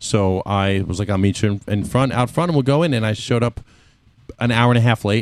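Using a plain, everyday voice, a man with an American accent talks fairly quickly at a medium pitch with ordinary pitch variation. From Mexican American. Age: 30s. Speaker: podcast guest. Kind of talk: casual chat.

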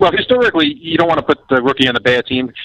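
A man talks in a New York accent with ordinary pitch variation. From Queens, New York. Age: 20s. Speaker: actor. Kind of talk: casual chat.

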